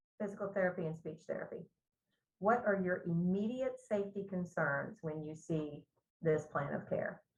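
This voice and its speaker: A woman speaks at medium pitch with a somewhat breathy voice. Her pace is moderate and her pitch variation ordinary. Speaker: nursing instructor. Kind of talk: lecture.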